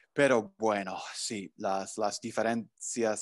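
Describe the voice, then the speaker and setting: A man with an English accent talks at a fairly low pitch and a very slow pace. The background is quiet. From US Northeast, New Jersey. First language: English (speaking Spanish). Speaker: language professor. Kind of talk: interview. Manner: halting, many fillers. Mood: friendly, relaxed. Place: home room. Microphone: video call.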